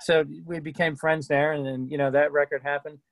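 A man's fairly high pitch at a fairly quick pace, little pitch movement, and a dry, close sound with no echo

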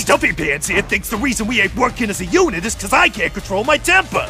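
There is clear background noise. Over it, a man speaks at a very fast pace. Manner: loud, macho, slangy.

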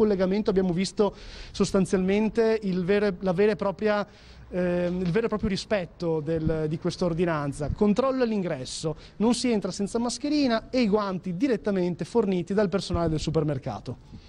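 Talking at a fairly quick pace, a man uses a high pitch with ordinary pitch variation. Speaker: field reporter. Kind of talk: live field report. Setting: outdoors. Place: street. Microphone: handheld.

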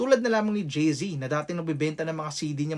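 With lively intonation and a somewhat breathy quality, a man speaks at a fairly quick pace and a fairly high pitch. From Philippines, Quezon City. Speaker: rapper and content creator. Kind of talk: motivational vlog.

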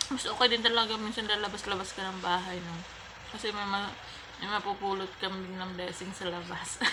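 Against noticeable background noise and audible room echo, a woman speaks at a fairly quick pace in a flat monotone. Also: medium pitch for a woman. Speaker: vlogger. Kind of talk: casual vlog talk.

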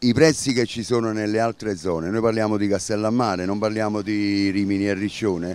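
A man's fairly low voice at a moderate pace, fairly even in intonation, in a dry recording with no echo. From Campania, Italy. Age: 60s. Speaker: beach club manager. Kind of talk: interview. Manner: halting. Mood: bitter, complaining appeal. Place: beach. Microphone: handheld.

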